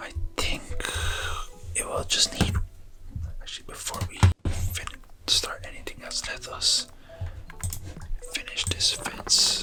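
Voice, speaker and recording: Whispering in a gentle tone, the speaker goes at a very slow pace. Long, frequent pauses break it up, with music in the background. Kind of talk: ASMR gameplay narration to help viewers relax and sleep. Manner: whispered, gentle.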